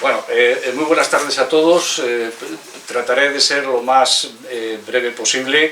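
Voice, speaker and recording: Over noticeable background noise, a man speaks at a fairly slow pace and medium pitch with fairly even intonation. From Spain, León province. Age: 60s. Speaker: author. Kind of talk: book presentation speech. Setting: bookstore event with audience. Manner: halting, many fillers.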